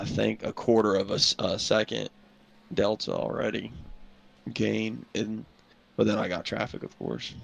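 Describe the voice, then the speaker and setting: A man with a Southern US accent mumbles. He leaves long, frequent pauses. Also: moderate pace. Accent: Gen Z Southern. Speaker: sim racing team driver. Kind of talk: casual chat. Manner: mumbling.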